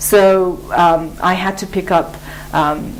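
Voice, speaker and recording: Over noticeable background noise, a woman speaks at a fairly low pitch in a monotone, flat intonation. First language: Mongolian. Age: 30s. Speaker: English teacher. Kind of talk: interview. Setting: studio. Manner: halting.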